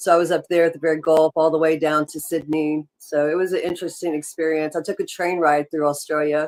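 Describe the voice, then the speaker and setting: A woman with an American accent speaks very fast in a very deep, low voice, with hardly any pauses. Her intonation is flat and monotone, and the sound is dry and close with no echo. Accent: Southern US, worked on over the years. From US South. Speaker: podcast co-host. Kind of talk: casual chat.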